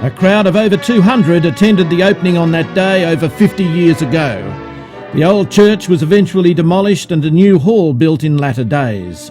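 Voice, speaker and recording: Music plays behind a man. His voice is high-pitched with lively intonation. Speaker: amateur filmmaker. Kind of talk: vintage newsreel-style documentary narration.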